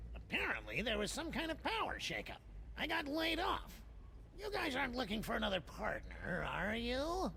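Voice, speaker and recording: A put-on character voice at a moderate pace, over clear background noise. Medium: video game. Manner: mopey, self-pitying.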